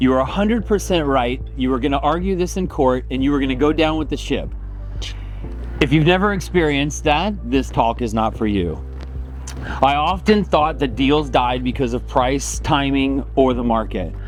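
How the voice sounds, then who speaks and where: A man speaks at a moderate pace. Music plays in the background, and the room echo is audible. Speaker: realtor. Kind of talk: talk to a group of agents. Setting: outdoors, speaking to a group. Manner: loud; casual, hesitant with many ums.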